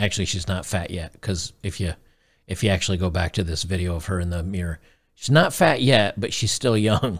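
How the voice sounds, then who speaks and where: Very deep, low male voice, somewhat breathy, at a fairly quick pace with ordinary pitch variation, against a quiet background. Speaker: streamer commentator. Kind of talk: reaction commentary. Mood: gleeful, mocking. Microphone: studio mic.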